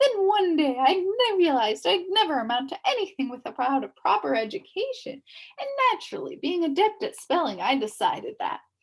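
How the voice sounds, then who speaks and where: A put-on character voice. The pace is fairly quick. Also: woman. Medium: read story. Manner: spells words letter by letter.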